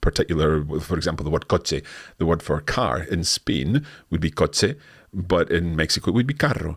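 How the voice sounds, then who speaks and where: A man with a Scottish accent, lively intonation and a fairly quick pace, in a very clean recording with a silent background. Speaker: language teacher. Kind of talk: live Q&A.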